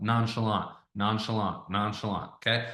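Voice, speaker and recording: In a room with audible echo, a man talks at a moderate pace in an energetic, animated tone. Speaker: online sales coach. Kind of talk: tutorial. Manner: casual, conversational.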